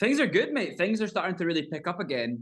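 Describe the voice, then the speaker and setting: A man with a Scottish accent talks with lively intonation against a quiet background. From Scotland. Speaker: country singer. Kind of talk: interview.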